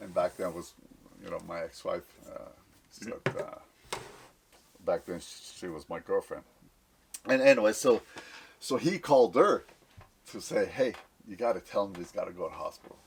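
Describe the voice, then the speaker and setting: A man speaks at a moderate pace with long, frequent pauses. His loudness swings widely, and there is noticeable background noise. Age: 60s. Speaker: former baseball player. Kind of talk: casual chat.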